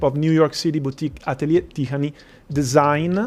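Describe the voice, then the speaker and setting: In an Italian accent, a man talks with a fairly high pitch and fairly even intonation. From Italy. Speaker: event host. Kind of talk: event moderation.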